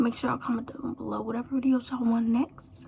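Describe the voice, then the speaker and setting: Quietly, a woman talks at a fairly quick pace. Her voice sits high. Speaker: hair YouTuber. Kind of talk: casual vlog talk to camera. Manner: quiet, low energy.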